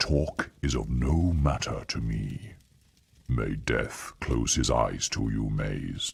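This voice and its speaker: A man puts on a character voice with very deep, low pitch. He delivers it at a very slow pace. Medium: video game. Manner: solemn, detached.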